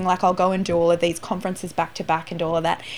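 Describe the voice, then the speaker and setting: A woman talking very fast with an Australian accent. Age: 30s. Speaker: entrepreneur and business coach. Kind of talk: interview.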